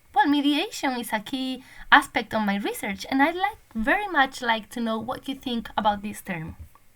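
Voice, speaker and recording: Her pitch high and swinging very widely, a woman with a Spanish accent speaks at a moderate pace. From Spain. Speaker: language teacher and PhD researcher. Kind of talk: recorded conference presentation. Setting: online conference recording.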